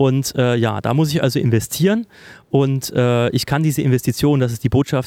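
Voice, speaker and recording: Dark and mellow in tone, a man speaks at a medium pitch with ordinary pitch variation. His pace is fairly quick, the sound dry and close with no echo. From Thuringia, Germany. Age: 30s. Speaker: political staffer. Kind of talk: casual interview. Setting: office in parliament building.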